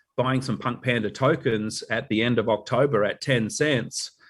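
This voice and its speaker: This man has a medium pitch and a somewhat breathy voice with an Australian accent. His pitch varies in an ordinary way. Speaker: company advisor presenting updates. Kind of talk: corporate online meeting update. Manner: elegant, proper.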